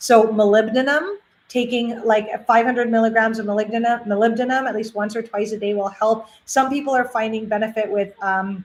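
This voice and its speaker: Her pitch sits fairly high for a woman. The intonation stays fairly even. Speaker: holistic health coach. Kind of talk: live Q&A. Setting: livestream. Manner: fast; casual.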